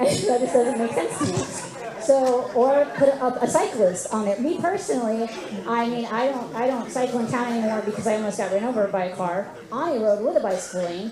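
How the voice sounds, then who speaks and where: A woman with an American accent, fairly high in pitch and lively in intonation, at a fairly quick pace, with noticeable background noise and audible room echo. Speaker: resident at public meeting. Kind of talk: public meeting question. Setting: community meeting with audience. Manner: halting, many fillers.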